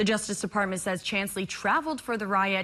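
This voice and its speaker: A woman has a normal speaking voice, with an American accent, a medium pitch and a fairly quick pace. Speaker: TV news anchor and journalist. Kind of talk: TV news anchor read. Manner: clear, professional, brisk.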